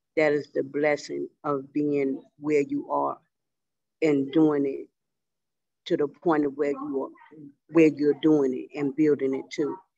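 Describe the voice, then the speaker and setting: Fairly slow speech with long, frequent pauses. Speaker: class participant. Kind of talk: casual class discussion.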